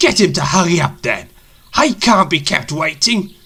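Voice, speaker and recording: A female-sounding voice in a put-on character voice speaks at a moderate pace and fairly low pitch in a very clean recording with a silent background. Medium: read story. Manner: haughty, impatient.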